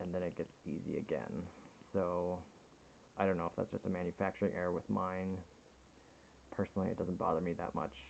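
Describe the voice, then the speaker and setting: A man mumbles at a fairly quick pace in a very deep, low pitch, his intonation flat and monotone, with long, frequent pauses. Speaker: watch reviewer. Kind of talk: casual product review to camera. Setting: home recording on a compact camera, poor sound. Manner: mumbling.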